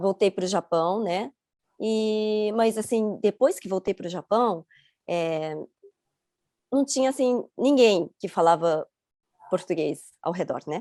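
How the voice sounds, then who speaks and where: Speaking at a very slow pace with long, frequent pauses, a woman has a dark, mellow tone and lively intonation in a dry, close sound with no echo. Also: medium pitch for a woman. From Rio de Janeiro, Brazil until 11, then Chiba, Japan. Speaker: interview guest. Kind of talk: interview. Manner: halting.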